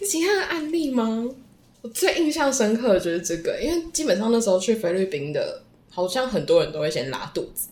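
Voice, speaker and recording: A woman with a fairly high pitch talks at a fairly quick pace with very wide pitch swings, over noticeable background noise. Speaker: former language school student. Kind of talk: casual interview chat.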